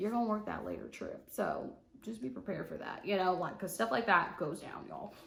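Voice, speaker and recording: A woman talks with lively intonation at a fairly quick pace. She has an ordinary speaking voice. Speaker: flight attendant vlogger. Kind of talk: casual vlog tutorial.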